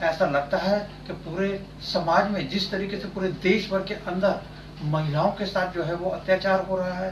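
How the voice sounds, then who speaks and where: A man's high-pitched voice at a moderate pace, flat and monotone, over noticeable background noise. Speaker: TV news editor and interviewer. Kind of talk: news channel interview questions.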